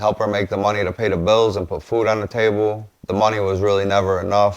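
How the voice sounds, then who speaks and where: A man with a Chicago accent and fairly low pitch speaks in a monotone, flat intonation. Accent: Chicago city. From Chicago, West Side. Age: 40s. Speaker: podcast host, construction business owner. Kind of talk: casual monologue.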